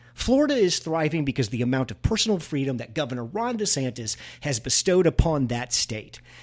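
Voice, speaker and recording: Fairly quick, nearly pause-free speech from a man with an American accent, a fairly high pitch and very wide pitch swings. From Missouri. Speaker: political podcast co-host. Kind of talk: casual political discussion.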